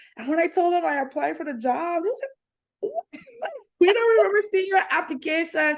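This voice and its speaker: A woman's extremely high voice with a British Virgin Islands accent, very wide pitch swings and a moderate pace. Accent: Caribbean (BVI) accent, kept. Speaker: entertainment reporter and content creator. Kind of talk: interview.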